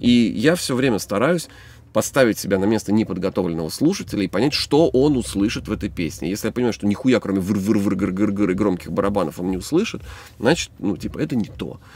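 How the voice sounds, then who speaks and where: The delivery is very fast with lively intonation, recorded dry with no echo. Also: man, fairly low pitch for a man. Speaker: songwriter and band musician. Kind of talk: casual chat. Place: studio.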